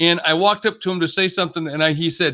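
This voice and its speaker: The recording is very clean, with a silent background. A man speaks very fast in a bright, sharp tone. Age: 60s. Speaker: motivational speaker and business executive. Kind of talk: podcast interview.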